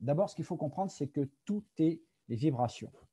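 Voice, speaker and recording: A man's dark, mellow, somewhat breathy voice with lively intonation at a moderate pace, dry and close with no echo, very clean with a silent background. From France. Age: 50s. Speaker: product presenter. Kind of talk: presentation. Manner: hesitant, many fillers.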